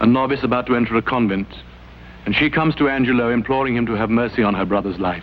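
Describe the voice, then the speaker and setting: Against noticeable background noise, a man speaks very fast at a medium pitch with ordinary pitch variation. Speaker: stage actor. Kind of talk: spoken introduction to a scene.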